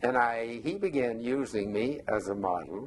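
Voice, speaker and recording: Intonation rises and falls in a lively way. A Southern US accent is present. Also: man. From US South, Atlanta, Georgia. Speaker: retired architect. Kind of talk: oral history interview. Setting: at home.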